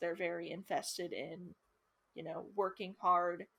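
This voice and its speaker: A woman in a very clean recording against a silent background. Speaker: youtube co-host. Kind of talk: casual chat. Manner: animated.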